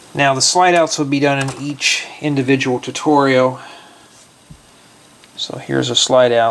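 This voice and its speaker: Medium pitch from a man, against noticeable background noise. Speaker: Lego builder vlogger. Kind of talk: casual vlog tutorial planning. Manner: slow.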